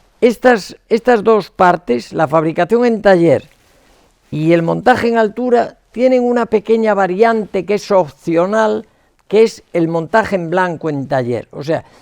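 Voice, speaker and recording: A man's high-pitched voice at a fairly slow pace, with lively intonation. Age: 70s. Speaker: structural engineer. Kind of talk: lecture. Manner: hesitant, many repetitions and fillers; casual, colloquial.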